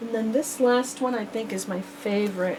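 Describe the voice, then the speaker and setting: Her voice sits at a medium pitch. The woman is heard through noticeable background noise. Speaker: crafter selling handmade journal kits. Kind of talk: product showcase video. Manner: animated.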